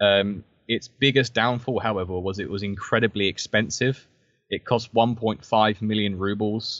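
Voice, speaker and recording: A man's fairly low voice in a southern English accent, at a moderate pace with fairly even intonation. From southern England, Brighton. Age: 20s. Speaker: military historian and author. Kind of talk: interview. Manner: hesitant, many fillers.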